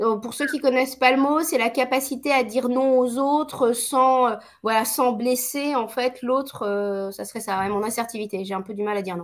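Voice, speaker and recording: In a very clean recording with a silent background, a woman with a high voice talks at a moderate pace with hardly any pauses. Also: ordinary pitch variation. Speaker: entrepreneur and author, speaker. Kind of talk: live video interview. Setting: live stream on a social network.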